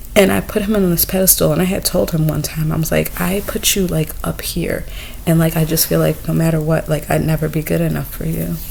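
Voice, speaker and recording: A soft-spoken woman talks at a fairly quick pace. Noticeable background noise runs behind her. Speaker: vlogger. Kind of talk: personal vlog monologue. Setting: indoors in someone else's home. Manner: hesitant.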